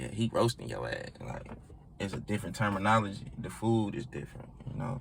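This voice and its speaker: A man with an American accent speaks at a fairly quick pace. His voice is fairly low, with lively intonation. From Augusta, Georgia (born New Orleans). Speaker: rapper. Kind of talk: casual interview. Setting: on a couch in a studio.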